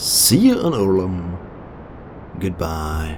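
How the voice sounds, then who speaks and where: Using very wide pitch swings, a man with a German accent speaks at a very slow pace. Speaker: video game commentator. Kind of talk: gameplay commentary. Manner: casual.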